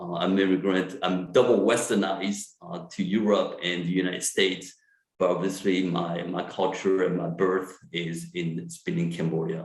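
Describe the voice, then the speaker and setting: A man with a French accent, very deep and low in pitch, at a moderate pace with ordinary pitch variation. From France. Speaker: psychiatrist. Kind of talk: lecture. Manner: halting, many fillers.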